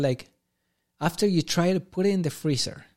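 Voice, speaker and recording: A man speaks in a strong Argentine accent at a moderate pace with ordinary pitch variation. The recording is very clean, with a silent background. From Argentina. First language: Spanish. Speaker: amateur soccer goalkeeper. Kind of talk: casual chat.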